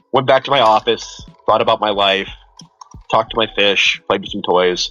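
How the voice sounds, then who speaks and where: With music in the background, a man speaks at a moderate pace, his medium pitch showing ordinary variation. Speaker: therapist. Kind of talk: casual chat.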